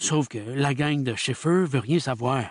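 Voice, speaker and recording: A man's drawling, put-on character voice against a quiet background. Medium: read story. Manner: drawling, curt, tight-lipped, swearing.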